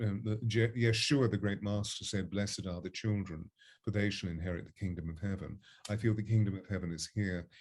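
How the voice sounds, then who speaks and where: Against a quiet background, a man talks at a fairly quick pace in an ordinary speaking voice, fairly low in pitch with ordinary pitch variation. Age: 60s. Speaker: voice coach and spiritual teacher. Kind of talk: interview.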